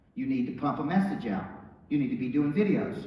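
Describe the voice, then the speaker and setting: Animated and very fast, a man with an American accent and a fairly high pitch makes very wide pitch swings, with audible room echo and noticeable background noise. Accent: Southern US accent noted by TV producers. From Tennessee small town. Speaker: motivational speaker and business coach. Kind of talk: motivational speech.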